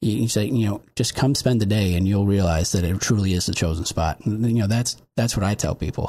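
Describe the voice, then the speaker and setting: A somewhat breathy voice speaks with an American accent. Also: man. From upstate New York (Olean). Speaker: city manager. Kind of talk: panel discussion. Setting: studio.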